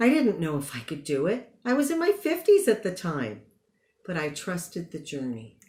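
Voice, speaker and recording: Somewhat breathy, a woman of medium pitch speaks at a moderate pace. Her pitch swings very widely. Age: 60s. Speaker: commencement speaker, graduate psychotherapist. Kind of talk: commencement speech. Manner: formal.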